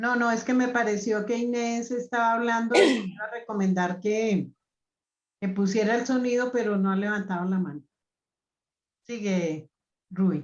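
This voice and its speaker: Long, frequent pauses in a woman's fairly high voice, with ordinary pitch variation and a moderate pace. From Colombia. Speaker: group facilitator. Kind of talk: group discussion.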